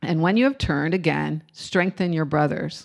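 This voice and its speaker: In an ordinary speaking voice, a woman talks at a moderate pace with ordinary pitch variation on a very clean recording with a silent background. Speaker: congregation member leading scripture reading and prayer. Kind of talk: scripture reading and prayer. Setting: church.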